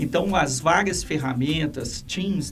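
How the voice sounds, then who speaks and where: A man speaks at a very slow pace with very wide pitch swings. Audible room echo and music in the background surround him. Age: 60s. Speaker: education institution president. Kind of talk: podcast interview. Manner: halting.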